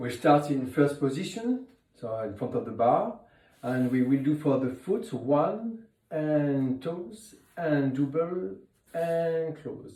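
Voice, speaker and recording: A man with a French accent speaks very slowly at a fairly high pitch, his dark, mellow tone carrying lively intonation over audible room echo. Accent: French accent, noticeable. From France. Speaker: ballet teacher. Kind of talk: instructional tutorial. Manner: counting rhythmically.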